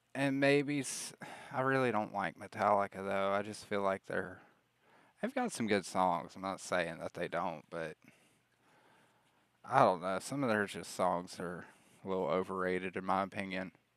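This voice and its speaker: Relaxed in tone, a man with a Southern US accent speaks at a moderate pace with long, frequent pauses. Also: fairly low pitch for a man, ordinary pitch variation. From US South, Alabama. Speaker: streamer. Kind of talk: casual chat. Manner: relaxed, rambling with fillers.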